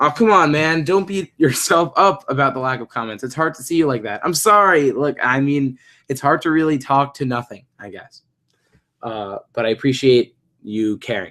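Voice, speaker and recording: A fairly high male voice with an American accent, a bright, sharp tone, moderate pace and big swings in loudness on a very clean recording with a silent background. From New York. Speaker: animator and YouTuber answering viewer questions. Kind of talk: live stream Q&A while drawing. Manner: casual, hesitant with fillers.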